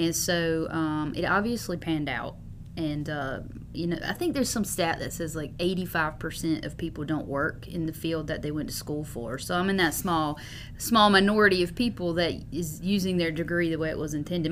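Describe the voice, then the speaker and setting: There is audible room echo as a woman with an American accent talks at a fairly quick pace in a fairly low pitch with ordinary pitch variation. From US South. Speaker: city manager. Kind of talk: interview.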